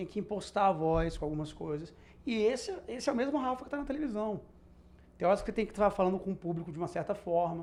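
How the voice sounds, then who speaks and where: Racing at a very fast pace, a man speaks in a high pitch with lively intonation. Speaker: TV reporter and presenter. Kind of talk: casual chat.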